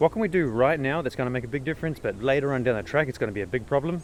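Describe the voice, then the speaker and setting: A man speaks at a very fast pace with an Australian accent. His pitch sits fairly high, and his intonation is lively. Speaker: vlogger. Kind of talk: casual rant. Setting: outdoors in the bush. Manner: hesitant, repetitive.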